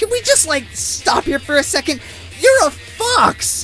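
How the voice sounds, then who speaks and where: A put-on character voice speaks at a fairly slow pace. Clear background noise runs underneath. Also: man. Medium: dub.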